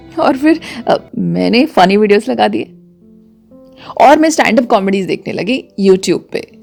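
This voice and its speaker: Music sounds behind the speaker. She is a woman. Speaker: radio jockey / storyteller. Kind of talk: radio storytelling, first-person narration with sound effects. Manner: expressive, animated, conversational.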